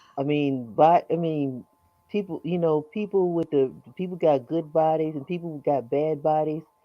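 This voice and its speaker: Moderate pace and ordinary pitch variation from a woman with a very deep, low voice. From California. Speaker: live stream guest. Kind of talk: casual chat.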